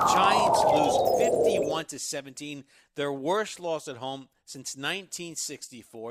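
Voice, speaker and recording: On a very clean recording with a silent background, a man speaks at a very slow pace with lively intonation. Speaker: sports radio host. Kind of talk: sports talk monologue. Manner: emphatic, frustrated.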